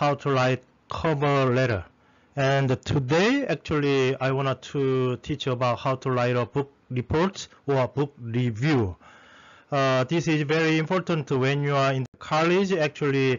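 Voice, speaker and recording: Speaking at a fairly slow pace with a non-native accent, a man uses a fairly high pitch, ordinary pitch variation and very even loudness. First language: not English. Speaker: lecturer teaching academic writing. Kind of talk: lecture. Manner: halting, many fillers.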